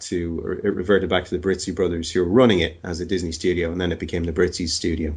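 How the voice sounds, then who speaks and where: A man with an Irish accent speaks at a fairly quick pace in a very deep, low, somewhat breathy voice. His intonation is fairly even, and the background is quiet. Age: 40s. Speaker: animation supervisor. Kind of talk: interview.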